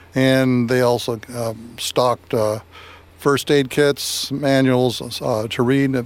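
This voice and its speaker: A man with an American accent talks at a very slow pace in a medium pitch with monotone, flat intonation over noticeable background noise. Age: 70s. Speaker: guest, bomb shelter owner. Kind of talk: radio interview.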